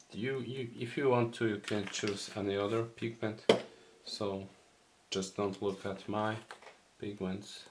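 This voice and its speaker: A man with a Polish accent and fairly low pitch speaks at a fairly slow pace with fairly even intonation. Long, frequent pauses break up his speech, and there is noticeable background noise. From Poland. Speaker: miniature painting hobbyist. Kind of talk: tutorial. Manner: halting.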